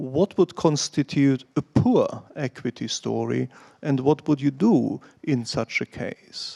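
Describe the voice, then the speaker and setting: At a very slow pace, a man speaks with a German accent. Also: dry, close sound with no echo. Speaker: financial analyst. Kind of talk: question at investor Q&A.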